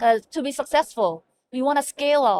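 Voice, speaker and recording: A woman speaks at a moderate pace with ordinary pitch variation. The sound is dry and close with no echo. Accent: Korean. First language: Korean. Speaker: hospital medical information officer. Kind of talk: interview. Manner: halting.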